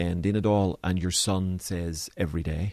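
Against a quiet background, a man with a very deep, low voice speaks at a moderate pace and with fairly even intonation. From Northern Ireland, Belfast. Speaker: pastor. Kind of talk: interview. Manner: halting.

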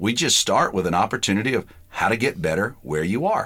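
The speaker is a man with a Southern US accent. His recording is very clean, and the background is silent. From US South (Georgia). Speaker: pastor. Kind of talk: interview.

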